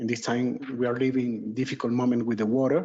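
A man at medium pitch, with a Venezuelan accent. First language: Spanish. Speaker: resident giving public comment. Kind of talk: public comment. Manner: halting non-native speech.

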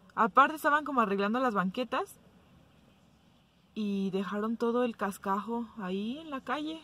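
A woman speaks at a moderate pace in a fairly high pitch, her tone bright and sharp with lively intonation. Her loudness swings widely, and the sound is dry with no echo. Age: 20s. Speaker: vlogger. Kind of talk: casual talk to camera. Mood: mildly impatient, chatty. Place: car. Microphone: phone near.

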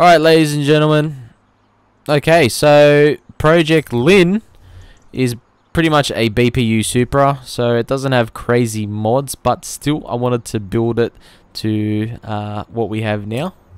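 With an Australian accent, a man speaks at a fairly slow pace. His medium pitch shows ordinary variation. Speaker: automotive YouTuber and car sound impersonator. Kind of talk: gameplay commentary vlog. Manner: casual, frequent filler words.

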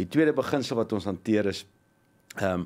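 This is a man talking. His pitch is fairly low. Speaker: motivational speaker. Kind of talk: studio interview. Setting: studio. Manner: energetic. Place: studio. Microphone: studio mic.

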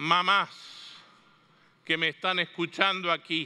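A man speaks at a high pitch with a bright, sharp tone. The background is quiet. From Argentina (Mendoza); Argentina. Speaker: catechetics speaker; speaker. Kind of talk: conference talk. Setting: stage with audience. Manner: animated. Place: hall.

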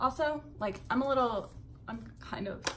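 A woman speaks at a fairly high pitch with a fairly bright tone. Her pace is moderate and her pitch varies in an ordinary way.

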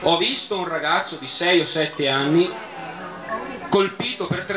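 A man with a strong Bergamo accent speaks at a moderate pace and high pitch with ordinary pitch variation, while clear music plays in the background. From Bergamo, Italy. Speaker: event closing speaker. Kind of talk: reading a quotation aloud. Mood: grave, moralizing. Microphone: camera far.

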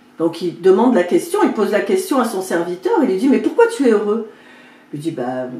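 In a room with audible echo, a woman speaks at medium pitch and a moderate pace, her pitch swinging very widely. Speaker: video creator and spiritual coach. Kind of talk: fable storytelling, retelling a parable. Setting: home video, talking to camera. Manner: animated, dramatic, playing the king and servant; chatty, informal, with comic asides. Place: home room.

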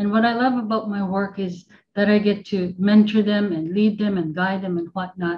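Somewhat breathy and fairly even in intonation, a woman speaks at a moderate pace over light background noise. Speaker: parent and team manager; guest. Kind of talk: casual conversation. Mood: reflective, slightly emotional. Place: home room. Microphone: webcam.

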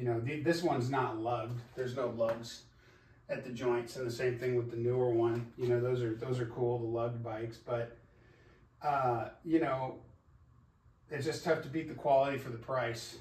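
A man's voice at a moderate pace, fairly even intonation, and audible room echo. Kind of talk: casual vlog chat. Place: garage. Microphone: camera far.

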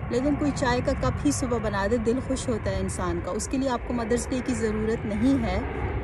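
A woman at a moderate pace with hardly any pauses, dry sound with no echo, and noticeable background noise. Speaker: vlogger. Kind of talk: casual vlog chat. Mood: warm, reflective. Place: garden. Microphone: phone near.

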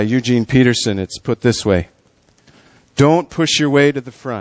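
A man with a normal speaking voice at a moderate pace, over a quiet background. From US Midwest. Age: 50s. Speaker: pastor. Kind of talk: talk about ministry; sermon. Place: church.

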